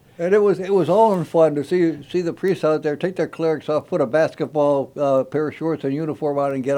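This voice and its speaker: A normal speaking voice from a man, fairly high in pitch, at a fairly quick pace with ordinary pitch variation and hardly any pauses. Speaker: radio host. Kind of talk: casual radio talk show chat. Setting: radio studio.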